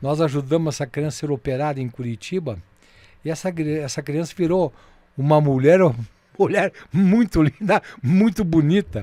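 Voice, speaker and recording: A man's dark, mellow voice at a fairly high pitch and moderate pace, with ordinary pitch variation, in a dry, close recording with no echo, very clean with a silent background. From southern Brazil, União da Vitória (Paraná). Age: 70s. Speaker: veteran radio broadcaster. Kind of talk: interview.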